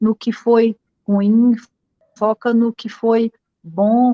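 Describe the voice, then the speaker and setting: Her voice is fairly high for a woman, with a dark, mellow tone. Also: dry, close sound with no echo. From Northeast Brazil. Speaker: writer. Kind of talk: interview.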